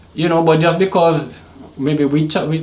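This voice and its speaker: Someone with an American accent talks at a moderate pace, with audible room echo and noticeable background noise. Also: man. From Trinidad and Tobago (born Saint Vincent). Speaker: Caribbean hip hop artist. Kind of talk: podcast interview.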